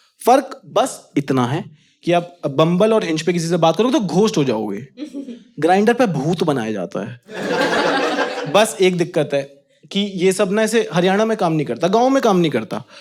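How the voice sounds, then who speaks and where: The voice belongs to a man and sits high in pitch. Very wide swings run through his pitch. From Haryana, India. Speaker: stand-up comedian. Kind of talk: stand-up comedy set. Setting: live comedy venue with audience.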